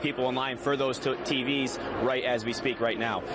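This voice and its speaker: A man talks with fairly even intonation. Noticeable noise fills the background. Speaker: field news reporter. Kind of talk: live news report. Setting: outdoors at a busy shopping mall.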